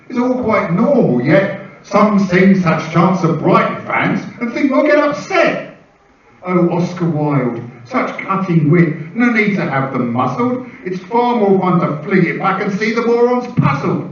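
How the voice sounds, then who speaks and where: At a fairly slow pace, a man speaks with a high voice and very wide pitch swings. Noticeable background noise is present. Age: 60s. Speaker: performance poet. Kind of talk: poetry performance. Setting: stage with audience. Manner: animated.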